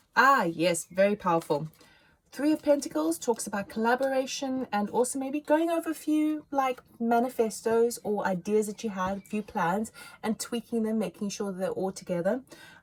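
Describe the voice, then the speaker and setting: A somewhat breathy woman's voice, fairly high in pitch, with lively intonation. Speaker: tarot reader. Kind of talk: tarot reading monologue. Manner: fast; animated.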